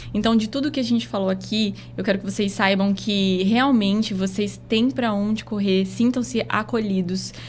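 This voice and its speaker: Spoken in a strong Rondônia accent with hardly any pauses, this voice has ordinary pitch variation and very even loudness. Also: woman, medium pitch for a woman, moderate pace. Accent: Rondônia accent, still strong. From Rondônia, northern Brazil (Porto Velho). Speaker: doctor. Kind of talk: closing message in podcast interview. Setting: podcast studio.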